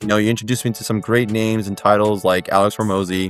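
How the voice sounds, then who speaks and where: A man's fairly low-pitched voice at a very fast pace, with music in the background. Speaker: chiropractor. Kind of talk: testimonial interview. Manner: casual, many fillers.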